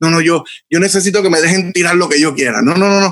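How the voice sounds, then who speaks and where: This is a man talking. His pitch sits high. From Puerto Rico, Bayamón. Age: 30s. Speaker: photographer. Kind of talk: casual interview chat.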